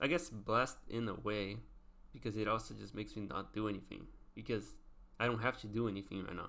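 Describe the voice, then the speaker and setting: A man with a non-native accent talks at a very fast pace in a bright, sharp tone, his fairly low voice marked by vocal fry. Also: ordinary pitch variation. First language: not English. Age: 20s. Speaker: vlogger. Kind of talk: casual monologue. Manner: halting.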